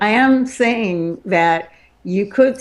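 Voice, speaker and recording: The woman talks at a medium pitch. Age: 70s. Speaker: tech talk show panelist. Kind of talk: casual panel discussion. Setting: live video stream.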